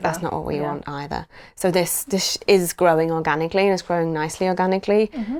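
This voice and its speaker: A woman's fairly low voice at a very fast pace, on a very clean recording with a silent background. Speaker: executive producer. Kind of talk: podcast interview answer, conversational.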